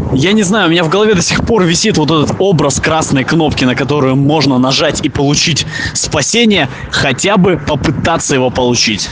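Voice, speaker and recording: A man's fairly high voice carries lively intonation at very even loudness, amid noticeable background noise and audible room echo. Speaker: podcaster. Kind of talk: voice message monologue. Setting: outdoors. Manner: fast.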